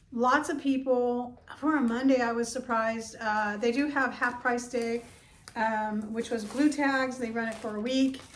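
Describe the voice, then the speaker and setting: A woman's high voice in monotone, flat intonation at a fairly slow pace, with audible room echo. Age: 60s. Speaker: thrift reseller vlogger. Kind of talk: casual vlog monologue. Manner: hesitant, many fillers.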